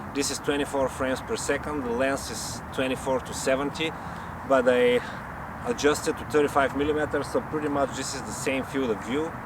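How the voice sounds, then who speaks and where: With a strong non-native accent, a man talks at a fairly quick pace in a fairly high pitch and a monotone, flat intonation, over noticeable background noise. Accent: strong foreign. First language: not English. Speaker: YouTuber, amateur camera reviewer. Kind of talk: casual vlog review. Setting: about three meters from camera mic.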